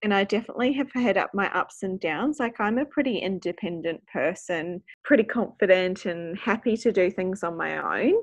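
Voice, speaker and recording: A woman speaks at a moderate pace in a New Zealand accent, her pitch medium. Her pitch varies in an ordinary way, and the background is quiet. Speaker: speech pathologist. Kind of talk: casual interview.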